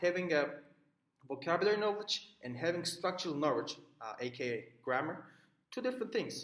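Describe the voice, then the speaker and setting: In a Turkish accent, a man speaks at a high pitch with very wide pitch swings. His pace is moderate, broken by long, frequent pauses. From Turkey. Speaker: student. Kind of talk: recorded class assignment talk. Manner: halting, many fillers.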